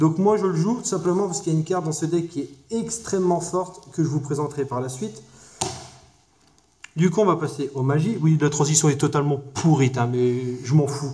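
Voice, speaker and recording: A man's fairly high, fairly quick voice with ordinary pitch variation, noticeable background noise and audible room echo. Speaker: card game YouTuber. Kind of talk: casual deck review tutorial. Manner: fast; hesitant with many fillers.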